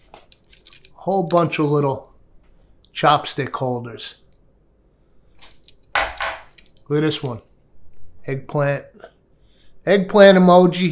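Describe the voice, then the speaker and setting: Speaking very slowly with long, frequent pauses, a man with a fairly high pitch shows ordinary pitch variation and big swings in loudness. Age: 60s. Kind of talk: casual talk to camera. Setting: home dining room.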